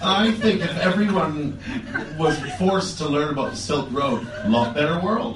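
Amid noticeable background noise and audible room echo, a man with a fairly high pitch makes very wide pitch swings. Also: moderate pace. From Canada. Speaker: comedian. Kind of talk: comedic casual chat.

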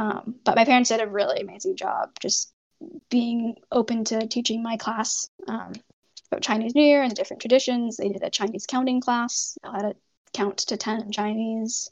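An ordinary speaking voice in a Canadian accent moves at a moderate pace with fairly even intonation. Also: woman, fairly high pitch for a woman. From Canada, Toronto area. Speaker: medical student. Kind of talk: casual interview.

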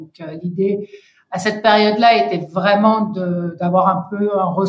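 A woman talks at a fairly slow pace. Her voice is somewhat breathy and medium in pitch. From Senegal and Côte d'Ivoire, with US mother. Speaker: founder and director of an advocacy organisation. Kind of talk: interview. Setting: remote recording. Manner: hesitant, many fillers.

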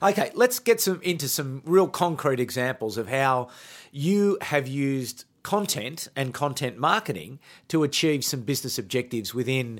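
A man at a moderate pace with lively intonation and an unremarkable speaking voice. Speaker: podcast host. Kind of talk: interview.

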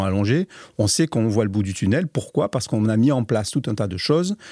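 A man's dark, mellow voice at medium pitch, a fairly quick pace, on a very clean recording with a silent background. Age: 60s. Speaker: company founder and director. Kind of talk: interview. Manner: halting, many repeated words.

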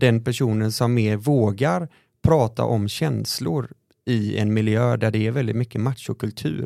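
A man speaks fairly slowly at a medium pitch with ordinary pitch variation and a dark, mellow tone, on a very clean recording with a silent background. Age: 30s. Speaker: podcast host, nonprofit founder. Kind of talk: casual chat.

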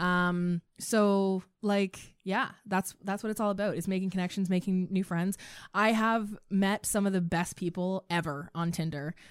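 A woman at a medium pitch and fairly slow pace, fairly even intonation, on a very clean recording with a silent background. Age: 20s. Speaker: sex educator. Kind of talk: casual chat. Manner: loud.

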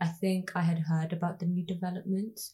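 Using monotone, flat intonation, a woman with a Birmingham accent speaks at a moderate pace in a fairly low, somewhat breathy voice. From Birmingham, England (Ladywood). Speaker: podcast interviewer. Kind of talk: interview.

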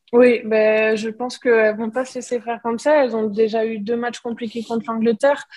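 Fairly high in pitch, a woman talks at a fairly quick pace in a monotone, flat intonation with hardly any pauses. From northern France. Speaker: rugby player. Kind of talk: interview.

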